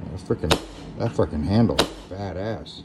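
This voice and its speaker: Noticeable background noise under a man's fairly slow speech. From Louisiana, Lake Charles; Louisiana. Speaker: YouTuber, gear reviewer. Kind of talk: casual unboxing vlog. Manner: rambling, hesitant with repeats. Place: home room. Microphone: phone near.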